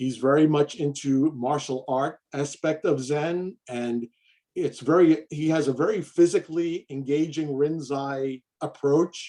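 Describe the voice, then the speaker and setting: With an American accent, a man speaks at a fairly slow pace in a fairly high pitch, his dark, mellow tone carrying fairly even intonation. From New York, Queens. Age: 60s. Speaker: Zen priest. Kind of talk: interview.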